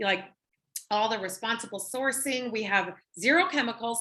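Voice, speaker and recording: Talking at a fairly quick pace, a woman has an American accent and ordinary pitch variation. Her tone is bright and sharp. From Minnesota. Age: 40s. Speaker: network marketing presenter. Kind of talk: sales pitch. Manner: animated.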